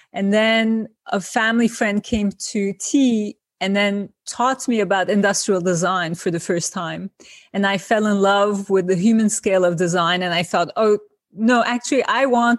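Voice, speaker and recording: In a Turkish accent, a woman talks at a moderate pace with ordinary pitch variation. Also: medium pitch for a woman. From Turkey, Izmir. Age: 50s. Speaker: designer and author. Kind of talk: interview.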